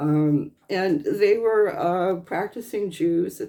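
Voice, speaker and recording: Speaking with an American accent, a woman has a dark, mellow tone touched with vocal fry. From US West Coast, Los Angeles area. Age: 60s. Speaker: vlogger. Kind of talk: casual commentary monologue. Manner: halting, many fillers.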